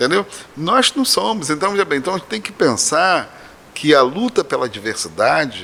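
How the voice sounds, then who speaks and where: At a fairly quick pace, a man speaks with fairly high pitch and very wide pitch swings. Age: 60s. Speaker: professor and candomblé priest. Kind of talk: podcast interview.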